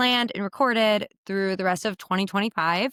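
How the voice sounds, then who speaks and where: On a very clean recording with a silent background, a woman of medium pitch and ordinary pitch variation speaks in a dry, close sound with no echo. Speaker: podcast host. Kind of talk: casual podcast monologue. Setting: recording from her bed.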